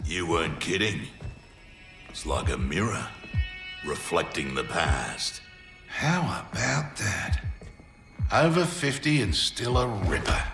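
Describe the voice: A man's put-on character voice, low-pitched with vocal fry and a fairly bright tone, big pitch swings, slow pace, long, frequent pauses, faint music in the background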